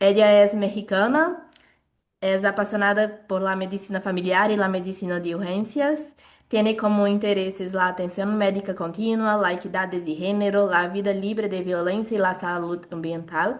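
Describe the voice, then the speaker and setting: A Brazilian accent, fairly even intonation and a moderate pace. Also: woman, medium pitch for a woman. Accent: non-native Spanish, Brazilian. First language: Portuguese (speaking Spanish). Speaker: webinar moderator, family doctor. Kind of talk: event introduction. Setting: video call webinar. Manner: halting.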